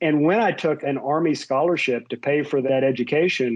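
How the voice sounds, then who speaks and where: There is a slight West Virginia accent in this man's voice, which has ordinary pitch variation. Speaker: tech executive and army veteran. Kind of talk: interview.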